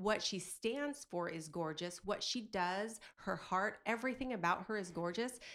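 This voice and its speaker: A woman with a plain, everyday voice, medium in pitch, fairly slow, with ordinary pitch variation, on a very clean recording over a silent background. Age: 40s. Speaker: mom and podcaster. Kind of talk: casual chat.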